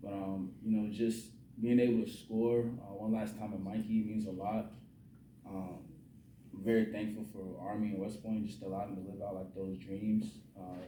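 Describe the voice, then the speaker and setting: In an American accent, the voice holds a monotone, flat intonation at a moderate pace, with big swings in loudness and audible room echo. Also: man, fairly low pitch for a man. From Virginia (Newport News). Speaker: college football quarterback. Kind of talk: post-game press conference. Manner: halting, many fillers and repetitions.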